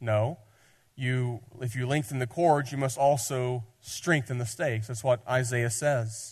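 With a Southern US accent, a man speaks at a moderate pace, somewhat breathy and with fairly even intonation. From Tennessee. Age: 30s. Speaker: pastor. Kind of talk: sermon. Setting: church.

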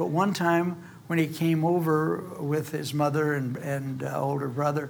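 There is audible room echo as a man with a fairly high pitch speaks at a fairly slow pace. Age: old. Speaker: preacher. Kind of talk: sermon.

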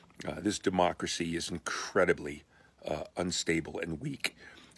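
This man's voice sits very deep and low, with ordinary pitch variation. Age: 60s. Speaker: pastor. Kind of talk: short video talk to congregation. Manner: casual, halting with fillers.

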